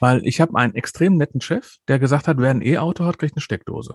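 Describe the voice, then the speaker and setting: A man speaks very fast in a fairly high voice with vocal fry and lively intonation. The sound is dry and close with no echo, and the background is quiet. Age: 50s. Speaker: podcast host. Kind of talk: casual chat.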